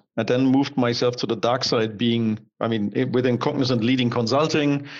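A man with a German accent at a very fast pace, with fairly even intonation. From Germany. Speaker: digital strategy consultant. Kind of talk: interview.

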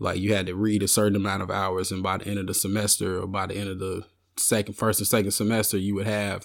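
A man's fairly low pitch comes through in a very clean recording with a silent background. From US South, Arkansas. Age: 30s. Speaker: rapper and songwriter. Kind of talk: casual interview.

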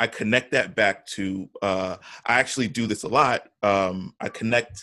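Against a quiet background, a man with an American accent speaks with ordinary pitch variation. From New York. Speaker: podcast host. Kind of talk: casual chat. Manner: animated.

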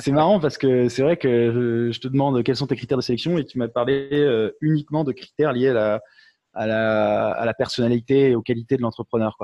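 Ordinary pitch variation at a moderate pace. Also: man. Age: young. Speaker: webinar host. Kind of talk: webinar interview. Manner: halting, many repetitions.

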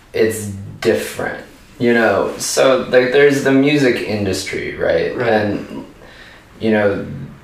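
A man with an American accent, plus audible room echo and noticeable background noise. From US South, Richmond, Virginia. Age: 30s. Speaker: punk band vocalist. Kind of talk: interview.

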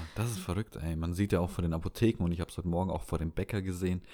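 In a very clean recording with a silent background, a man's very deep, low voice carries a dark, mellow tone and fairly even intonation. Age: young. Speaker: podcast co-host. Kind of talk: casual chat.

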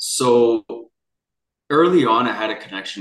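A man with a Canadian accent. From Vancouver, Canada. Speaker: near-death experiencer and coach. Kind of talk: interview.

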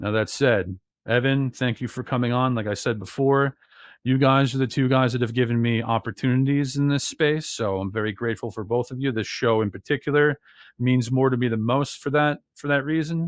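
A man with an American accent at a medium pitch and a fairly quick pace. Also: fairly even intonation. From New Jersey. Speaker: podcast co-host. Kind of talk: casual podcast chat. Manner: loud.

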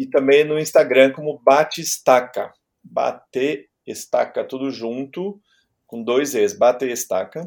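A man at a very slow pace, with big swings in loudness. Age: 50s. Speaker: music journalist and DJ. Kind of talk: casual chat. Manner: halting.

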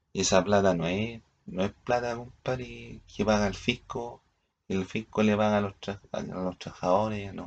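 A man speaks slowly with a Chilean accent. His fairly low voice keeps a fairly even intonation. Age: 40s. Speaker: vlogger. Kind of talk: casual monologue. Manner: halting.

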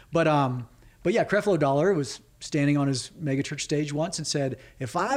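This is a man with an American accent and a fairly high pitch. He uses a normal speaking voice at a fairly quick pace. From California. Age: 30s. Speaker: filmmaker. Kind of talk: interview.

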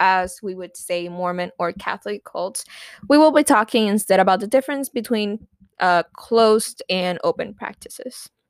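Speaking fairly slowly in a Spanish accent, a woman with a fairly high pitch and ordinary pitch variation is heard dry and close with no echo, on a very clean recording with a silent background. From Puerto Rico. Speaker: podcast co-host. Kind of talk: casual chat.

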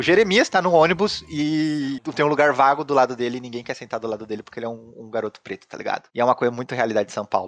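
Talking at a very fast pace with hardly any pauses, a man at medium pitch uses lively intonation and big swings in loudness, in a dry, close sound with no echo. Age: 30s. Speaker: podcast host. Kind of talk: casual chat. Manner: halting.

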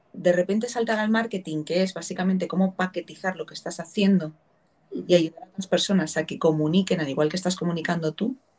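Talking fairly quickly, a woman has a voice with some breathiness to it. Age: 30s. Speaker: podcast host. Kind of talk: interview.

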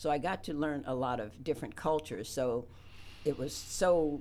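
Speaking fairly slowly with an American accent, the woman has a very deep, low pitch. Her intonation is lively. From West Virginia. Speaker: community center chair. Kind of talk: radio interview. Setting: radio studio.

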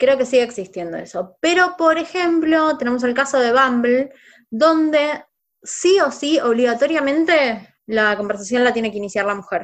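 With lively intonation, a woman speaks at a high pitch over a quiet background. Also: moderate pace. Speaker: podcast host, sociologist. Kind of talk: casual chat.

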